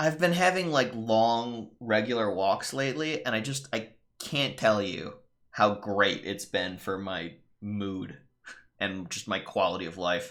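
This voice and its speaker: In a normal speaking voice, a man speaks at a fairly slow pace and fairly low pitch with lively intonation. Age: 30s. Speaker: game streamer. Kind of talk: casual live-stream commentary. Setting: live stream.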